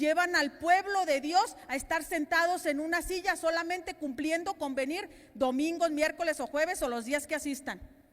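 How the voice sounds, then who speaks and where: Animated tone at a moderate pace. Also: woman. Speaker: pastor. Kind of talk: sermon.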